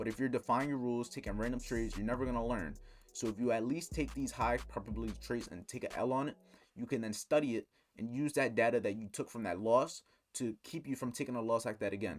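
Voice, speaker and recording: The voice, with vocal fry, moves at a very fast pace with ordinary pitch variation on a very clean recording over a silent background. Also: man, medium pitch for a man. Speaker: trading educator. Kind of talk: tutorial.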